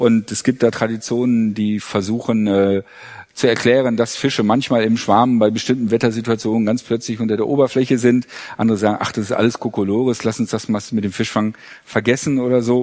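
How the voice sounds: A man speaks at a fairly quick pace with a slightly mellow tone. His intonation stays fairly even. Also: medium pitch for a man, few pauses.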